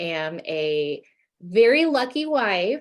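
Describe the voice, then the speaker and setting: A woman speaks in an American accent with a fairly low pitch, lively intonation and a normal speaking voice. The recording is very clean, with a silent background. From United States. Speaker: academic researcher and lifestyle blogger. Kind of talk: podcast interview.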